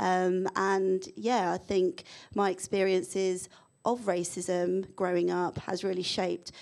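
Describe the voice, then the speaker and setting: A woman with a London accent, flat and monotone, at a fairly slow pace against a quiet background. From London, England. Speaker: diversity and inclusion consultant; panelist. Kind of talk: panel discussion. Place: hall. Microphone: handheld.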